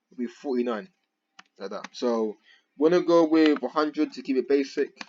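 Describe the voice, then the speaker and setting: A man's fairly high voice, an ordinary speaking voice, with lively intonation and big swings in loudness. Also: fairly quick pace. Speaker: programming tutor. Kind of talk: tutorial. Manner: casual slangy.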